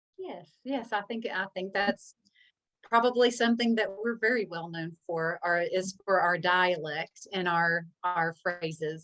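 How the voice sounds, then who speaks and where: A woman speaks slowly-ish, at a fairly slow pace, with a slight Southern US accent. Her fairly low pitch shows ordinary variation. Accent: slight Southern drawl. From US South. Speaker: author. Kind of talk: casual chat. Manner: halting, repeats words.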